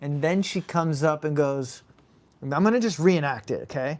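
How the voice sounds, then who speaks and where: Everything is captured in a very clean recording against a silent background. The delivery keeps a moderate pace. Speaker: gaming streamer. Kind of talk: casual chat. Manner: talkative.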